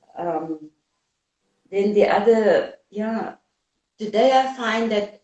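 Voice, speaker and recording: Speaking very slowly with a South African accent, a woman uses lively intonation at a medium pitch. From South Africa, Cape Town. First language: Afrikaans. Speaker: anti-apartheid activist. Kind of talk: interview.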